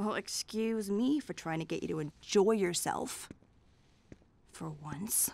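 A woman uses a put-on character voice with a slightly mellow tone and vocal fry. She speaks at a slow pace with lively intonation. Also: medium pitch for a woman.

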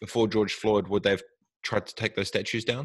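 A man with a New Zealand accent talks at a fairly quick pace, dry with no echo against a quiet background. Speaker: tech entrepreneur. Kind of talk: interview. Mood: reflective, opinionated. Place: home room. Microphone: studio mic.

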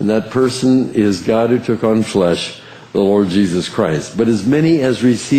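The reading voice is unforced. Its pitch shifts in a normal manner.

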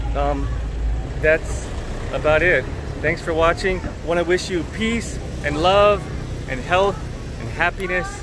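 A man pauses long and often, his sound dry with no echo, amid noticeable background noise. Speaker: travel vlogger. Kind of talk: casual vlog chat. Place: street. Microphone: phone near.

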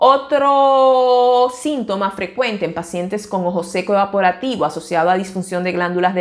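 A woman speaks at a moderate pace and medium pitch. Her pitch varies in an ordinary way, and the background is quiet. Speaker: ophthalmologist. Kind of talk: educational talk to camera. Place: office. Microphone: lapel.

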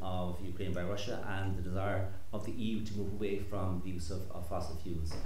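A man speaks over light background noise. The room echo is audible. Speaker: event host. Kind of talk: panel introduction. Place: hall. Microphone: handheld.

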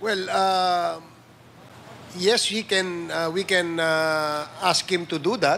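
Speaking at a very slow pace, a man with a high pitch and a bright, sharp tone keeps his intonation fairly even over light background noise. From Philippines. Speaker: committee chair, legislator. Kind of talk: congressional hearing. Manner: formal. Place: hall. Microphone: podium.

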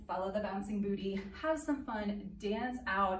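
A woman speaks at a moderate pace with ordinary pitch variation. Room echo is audible, along with light background noise. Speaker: dance teacher. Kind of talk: casual class introduction. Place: hall. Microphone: camera far.

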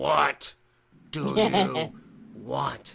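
Putting on a character voice, a man sounds raspy and strained at a medium pitch with very wide pitch swings. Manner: strained, weird.

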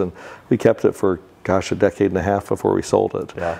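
At a moderate pace, a man talks with a fairly low pitch and a dark, mellow tone. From Central Florida (Winter Park); Central Florida. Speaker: real estate developer. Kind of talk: interview. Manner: halting. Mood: relaxed, friendly. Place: office. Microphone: lapel.

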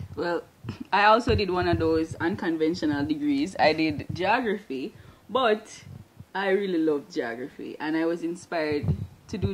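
With lively intonation and a fairly low pitch, a woman speaks over noticeable background noise. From Jamaica, Trench Town, Kingston; Jamaica. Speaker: geography PhD candidate; interviewee. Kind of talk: interview testimony. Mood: warm, smiling. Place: office. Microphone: handheld.

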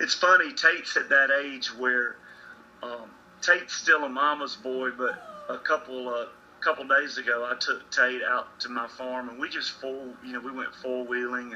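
Over light background noise, a man keeps a moderate pace and fairly even intonation. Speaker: remote guest. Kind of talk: interview answer. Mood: relaxed, smiling. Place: home room. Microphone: video call.

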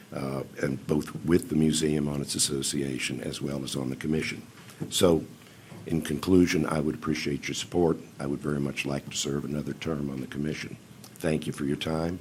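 Fairly even intonation from a man with a very deep, low pitch at a moderate pace. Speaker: museum commission chairman. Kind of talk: public testimony. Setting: county council meeting. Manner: formal.

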